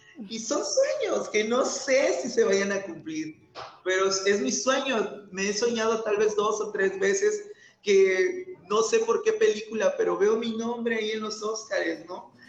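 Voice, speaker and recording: Recorded with audible room echo, a man with a high pitch speaks at a fairly slow pace with ordinary pitch variation. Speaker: actor and theatre maker. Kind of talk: interview conversation.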